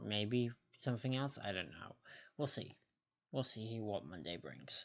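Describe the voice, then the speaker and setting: A quiet, fairly low male voice at a fairly slow pace, with ordinary pitch variation. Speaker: gaming streamer. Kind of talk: live stream commentary. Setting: home stream, someone sleeping next door. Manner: quiet, keeping voice down; casual, halting.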